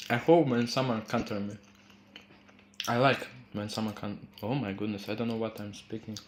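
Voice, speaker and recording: This is a man speaking with a Croatian accent. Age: 20s. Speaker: crypto trading streamer. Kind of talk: live-stream trading commentary. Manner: casual, halting.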